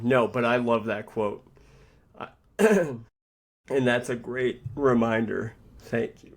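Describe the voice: In a raspy, put-on character voice, the speaker talks very slowly with fairly even intonation and long, frequent pauses. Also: man, medium pitch for a man.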